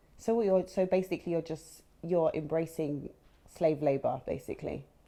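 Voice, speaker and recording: In a London accent, a woman speaks at a moderate pace with a fairly low pitch, ordinary pitch variation and a dark, mellow tone. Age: 30s. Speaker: chat show host. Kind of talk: interview. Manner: animated.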